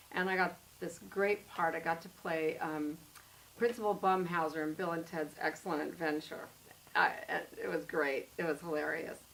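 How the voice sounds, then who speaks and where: Her voice fairly low in pitch, a woman speaks at a moderate pace with fairly even intonation. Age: 60s. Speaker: actor. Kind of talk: casual chat. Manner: halting.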